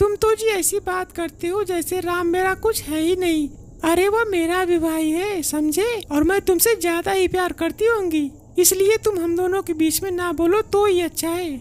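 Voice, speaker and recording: A woman uses a put-on character voice at an extremely high pitch. She keeps a moderate pace with hardly any pauses. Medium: read story.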